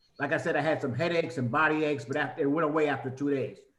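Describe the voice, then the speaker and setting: A man talks very fast in a fairly high pitch with fairly even intonation. Room echo is audible. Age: 70s. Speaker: caller. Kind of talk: asking a question. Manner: hurried.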